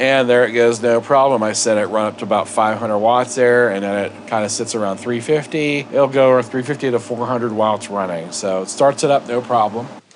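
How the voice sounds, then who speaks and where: Through noticeable background noise, a man at medium pitch talks at a fairly quick pace with fairly even intonation and hardly any pauses. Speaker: product reviewer. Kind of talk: product review.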